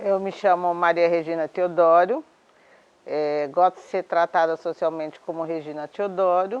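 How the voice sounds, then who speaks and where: In an unremarkable speaking voice, a woman talks at a fairly slow pace with fairly even intonation. The sound is dry and close with no echo. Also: fairly low pitch for a woman. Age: 60s. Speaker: domestic worker and union leader. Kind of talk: interview testimony. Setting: at her home.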